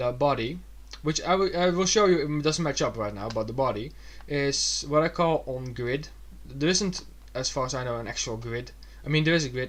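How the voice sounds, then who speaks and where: A man speaks with a Dutch accent. His pitch is fairly high. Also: ordinary pitch variation. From Netherlands. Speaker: digital illustrator. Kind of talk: tutorial. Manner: fast; halting.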